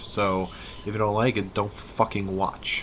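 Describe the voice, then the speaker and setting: Against noticeable background noise, a man speaks at a fairly low pitch with monotone, flat intonation. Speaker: wrestling vlogger. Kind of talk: casual webcam commentary. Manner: halting, forcing words out.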